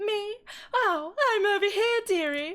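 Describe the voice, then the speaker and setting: A woman uses a put-on character voice in a British accent at an extremely high pitch. She speaks at a fairly slow pace. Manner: cheeky, affectionate, calling people dearie.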